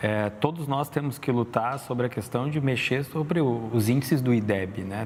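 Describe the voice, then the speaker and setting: This man talks at a moderate pace in a medium pitch, using ordinary pitch variation. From Brazil, Rio Grande do Sul north coast (Torres). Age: 40s. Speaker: illustrator and entrepreneur. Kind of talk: interview conversation. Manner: hesitant, many fillers.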